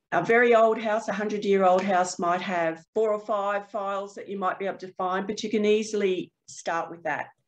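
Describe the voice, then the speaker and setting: With an Australian accent, a woman talks at a moderate pace. Her intonation stays fairly even. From Queensland, Australia. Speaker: proptech startup co-founder; panelist. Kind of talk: webinar panel discussion. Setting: video call. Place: office. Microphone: webcam.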